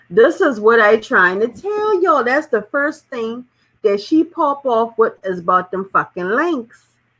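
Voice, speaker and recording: A woman with an American accent, fairly high pitch, lively intonation and a bright, sharp tone. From South Carolina, Charleston. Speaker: YouTube commentary channel host. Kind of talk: live-stream commentary reading viewer comments. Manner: animated.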